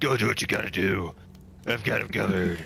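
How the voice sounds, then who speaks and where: A man does a put-on character voice, raspy and very deep in pitch, at a fairly quick pace. His loudness stays very even over clear background noise. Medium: actual play. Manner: loud, blustering, defiant.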